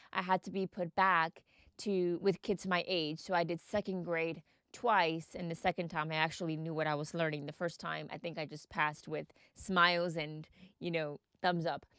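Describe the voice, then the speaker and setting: This woman speaks with a Mexican accent at a fairly low pitch and moderate pace, her intonation fairly even. The recording is very clean, dry and close, with no echo and a silent background. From Texas, Mexican family. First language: Spanish. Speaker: podcast host. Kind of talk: personal storytelling podcast.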